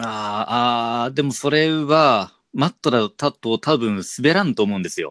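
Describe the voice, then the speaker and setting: In an ordinary speaking voice, a man talks at a fairly slow pace and medium pitch with lively intonation and hardly any pauses, in a very clean, dry, close recording with no echo and a silent background. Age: 30s. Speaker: podcast host, teacher. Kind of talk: casual chat.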